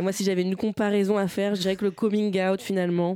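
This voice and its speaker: Noticeable background noise sits behind a woman talking at a fairly quick pace. Her pitch is medium and her intonation fairly even. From Normandy, France (Bernay, Eure). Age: 20s. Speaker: stand-up comedian. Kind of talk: interview. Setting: studio. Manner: halting.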